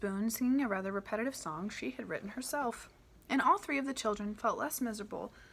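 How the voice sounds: With ordinary pitch variation, a natural voice reads the text.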